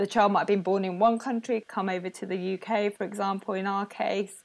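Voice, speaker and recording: This woman speaks with a British accent at a medium pitch. Her pace is moderate and her intonation fairly even. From England. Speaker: speech and language therapist. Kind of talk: casual interview.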